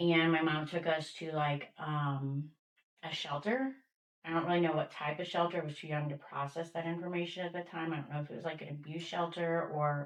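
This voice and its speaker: A woman speaks with a very deep, low pitch in an American accent. Her pace is fairly quick and her intonation fairly even. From Missouri, US Midwest. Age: 40s. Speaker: person in addiction recovery. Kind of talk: interview, personal testimony. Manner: hesitant, many fillers.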